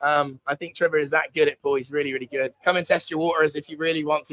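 Delivered at a very fast pace with a slight West Country accent, the voice has a bright, sharp tone and a dry sound with no echo. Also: man. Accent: mild West Country English. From West Country, England. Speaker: stand-in live stream host. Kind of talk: casual live stream chat. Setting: live stream from a bar in Pattaya. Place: bar. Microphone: lapel.

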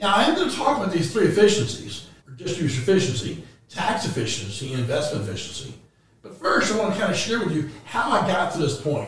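A very fast, high-pitched man's voice with audible room echo. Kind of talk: presentation to clients.

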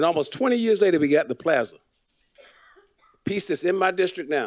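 Against a quiet background, a voice with an American accent moves at a fairly quick pace with lively intonation. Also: man. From Florida, Fort Lauderdale; Florida. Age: 60s. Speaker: city commissioner. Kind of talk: public meeting remarks. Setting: city commission meeting. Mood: impassioned, persuasive. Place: hall. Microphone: podium.

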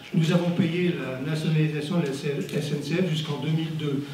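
Noticeable background noise and audible room echo surround the man as he talks. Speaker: audience member. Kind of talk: public comment at a debate. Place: hall.

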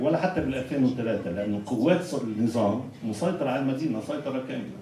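Amid light background noise and audible room echo, a man speaks at a fairly slow pace. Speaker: panelist, political activist; panelist. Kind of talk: panel discussion. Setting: simultaneous interpretation event. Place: hall.

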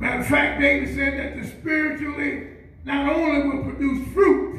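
A man speaks with an extremely high pitch at a fairly slow pace. Audible room echo surrounds his voice. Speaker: pastor; preacher. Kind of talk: sermon. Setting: church. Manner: repetitive, emphatic bursts with constant amens and yeahs; rousing, exhorting the congregation to respond. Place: church.

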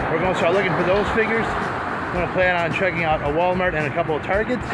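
Loud background noise sits behind a man speaking at a fairly quick pace with ordinary pitch variation. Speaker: toy collector vlogger. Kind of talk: casual vlog chat. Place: street. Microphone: phone near.

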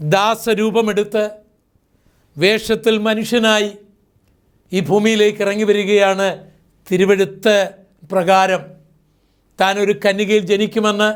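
A man with a high-pitched voice speaks in a flat monotone at a very even loudness. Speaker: preacher. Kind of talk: sermon.

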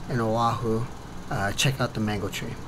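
A man keeps a moderate speed while noticeable background noise plays behind him. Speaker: Muay Thai coach and vlogger. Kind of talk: casual travel vlog to camera. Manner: halting, many fillers.

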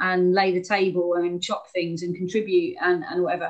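A woman speaks with a southern English accent at a moderate pace. Her intonation stays fairly even over a quiet background. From England, Hastings. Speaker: anti-poverty campaigner. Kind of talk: online talk. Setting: video call. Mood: calm, reflective storytelling. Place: home room. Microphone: video call.

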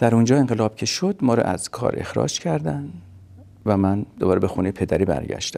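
A man speaks at a fairly low pitch. His tone is dark and mellow. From Kurdistan, Iran (Qorveh, near Sanandaj); Iran. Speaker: refugee telling life story; interviewee. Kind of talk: testimony. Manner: halting. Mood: calm, reflective. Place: home room.

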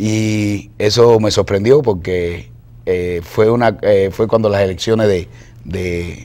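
A man's voice, dark and mellow in tone, sits at a fairly low pitch and moves at a fairly slow pace. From Cuba. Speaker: cartoonist and artist; guest. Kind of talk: interview. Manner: halting, many fillers. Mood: relaxed, smiling. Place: studio.

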